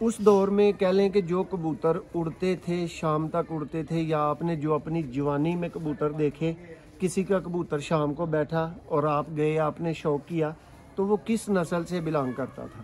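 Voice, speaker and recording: Fairly high in pitch, a man uses an ordinary speaking voice with fairly even intonation. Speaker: vlogger. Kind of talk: interviewer and talk to viewers.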